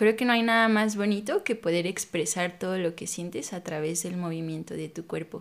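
Moderately paced and with hardly any pauses, a woman talks in an unremarkable speaking voice, fairly low in pitch, with ordinary pitch variation. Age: 30s. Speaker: pole dance instructor and studio owner. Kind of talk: casual interview chat.

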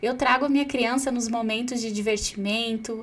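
A woman talks with a Brazilian accent. Her intonation is monotone and flat. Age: 30s. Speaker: psychologist podcast host. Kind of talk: solo podcast talk.

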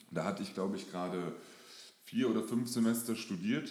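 A man's voice with ordinary pitch variation, in audible room echo. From Germany, moved around (Lower Saxony, Hesse, NRW). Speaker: fitness and mindset coach. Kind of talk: interview.

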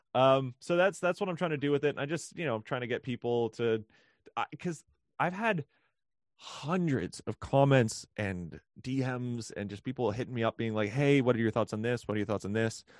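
Against a quiet background, a man with a Western Canadian accent speaks with lively intonation. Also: medium pitch for a man, moderate pace, dry, close sound with no echo. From Canada, British Columbia (Vancouver). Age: 20s. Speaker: musician. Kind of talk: casual chat.

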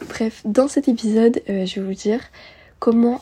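Husky with a rough edge, a woman's voice has a dark, mellow tone and a moderate pace.

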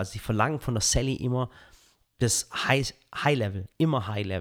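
In a very clean recording with a silent background, a man with a Swabian accent speaks at a medium pitch with ordinary pitch variation. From Swabia, Swabian Jura (Balingen area). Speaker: content creator and podcast guest. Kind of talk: casual interview chat. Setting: on location, not studio.

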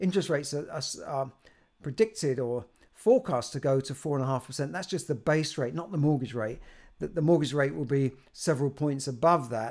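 Fairly quick speech in a British accent with ordinary pitch variation. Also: man, fairly high pitch for a man. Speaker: personal finance youtuber. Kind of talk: solo video monologue. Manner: halting, with many repeated words.

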